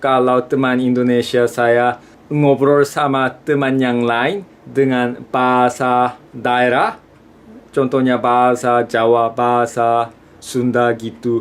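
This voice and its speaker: A man speaks very slowly with a Korean accent. His pitch is medium and his intonation is monotone and flat. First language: Korean (speaking Indonesian). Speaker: student vlogger. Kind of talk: vlog talk to camera.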